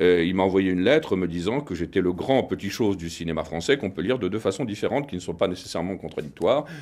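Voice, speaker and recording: Very fast and with hardly any pauses, a man speaks in a very deep, low pitch. His intonation is lively. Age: 50s. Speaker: film director. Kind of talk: interview.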